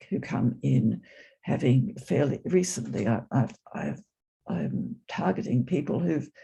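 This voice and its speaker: A man speaks in a dark, mellow tone with vocal fry and very wide pitch swings. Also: medium pitch for a man, fairly slow pace. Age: 80s+. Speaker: attendee sharing in Q&A, psychoanalyst and former nurse. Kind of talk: casual sharing in online discussion. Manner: halting, many repetitions.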